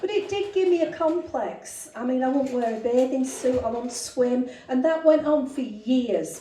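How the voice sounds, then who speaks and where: A woman speaks with a high pitch. Noticeable background noise can be heard. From northern England, Rochdale near Manchester. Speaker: comedian. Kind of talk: stand-up. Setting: stage with audience.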